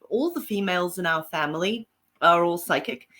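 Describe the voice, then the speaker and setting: A woman with a South African accent and a bright, sharp tone, on a very clean recording with a silent background. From Zimbabwe and South Africa. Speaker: paranormal author and psychic. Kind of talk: interview guest.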